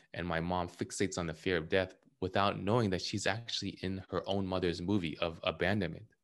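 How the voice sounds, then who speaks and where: Against a quiet background, a man with an American accent speaks at a very deep, low pitch. His pace is fairly quick and his intonation fairly even. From California. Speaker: author and trauma healing coach. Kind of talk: interview.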